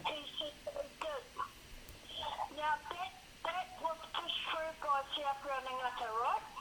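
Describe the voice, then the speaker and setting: A woman's high, raised and projected voice at a fairly slow pace, with ordinary pitch variation, long, frequent pauses and noticeable background noise. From Wairoa, New Zealand. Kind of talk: phone call conversation.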